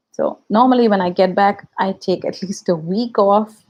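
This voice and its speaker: A speaker with a Tamil accent talks at a fairly slow pace. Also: woman. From India. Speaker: YouTube reaction video creator. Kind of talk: casual livestream chat. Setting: livestream.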